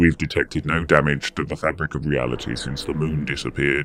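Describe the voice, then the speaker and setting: Using a put-on character voice, a man speaks very deep and low at a fairly quick pace. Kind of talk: military address. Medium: solo performance. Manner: brisk, pompous, patronising.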